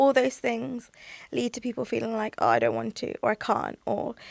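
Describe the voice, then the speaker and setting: Recorded with a dry, close sound and no echo, a woman speaks with a British accent. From UK. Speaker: language platform founder. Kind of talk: podcast interview.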